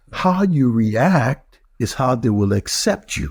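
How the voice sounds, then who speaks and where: A man with a Liberian accent speaks very slowly in a dark, mellow tone. His voice is somewhat breathy, with very wide pitch swings. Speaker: mayor. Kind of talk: interview.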